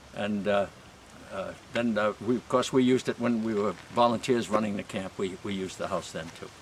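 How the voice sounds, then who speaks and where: Noticeable background noise sits behind a man who speaks fairly quickly in a fairly low pitch with fairly even intonation. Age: 80s+. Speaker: former camp property manager and scout volunteer. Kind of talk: guided walking tour interview. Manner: halting, many fillers and repeated words.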